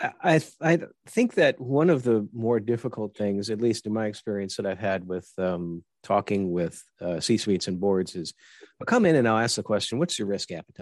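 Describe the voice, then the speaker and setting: Speaking at a moderate pace with lively intonation, a man has an ordinary speaking voice, a fairly low pitch, and a dry, close sound with no echo. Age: 50s. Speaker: podcast host and army veteran. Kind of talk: interview.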